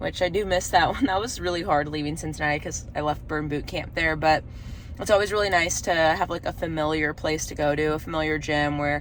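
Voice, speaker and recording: With an American accent and fairly even intonation, a woman talks at a fairly quick pace amid noticeable background noise and audible room echo. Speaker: vlogger, former TV news reporter. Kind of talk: casual vlog. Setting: gym bathroom.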